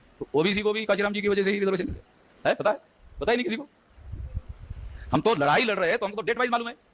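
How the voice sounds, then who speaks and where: A man speaks at a high pitch. Noticeable background noise can be heard. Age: 60s. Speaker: activist leader. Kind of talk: public speech.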